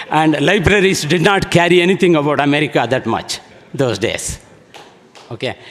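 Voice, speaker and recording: Noticeable background noise surrounds a man who speaks at a moderate pace, his pitch varying in an ordinary way. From India, small town, not Karnataka. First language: an Indian language. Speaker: alumnus speaker. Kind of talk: speech at alumni event. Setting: event hall with audience.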